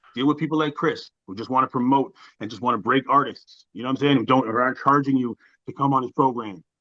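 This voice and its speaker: With a Canadian accent, a man talks at a very fast pace in a medium pitch, his tone animated, bright and sharp, his pitch variation ordinary, and the sound dry and close with no echo. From Canada (Ontario). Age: 40s. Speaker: rapper. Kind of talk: interview.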